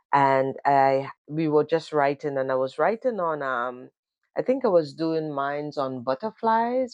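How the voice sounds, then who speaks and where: In a Caribbean accent, a woman with a very deep, low pitch speaks with lively intonation at a fairly slow pace, the sound dry and close with no echo and the background quiet. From Grenada. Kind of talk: casual talk to camera. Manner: hesitant, conversational.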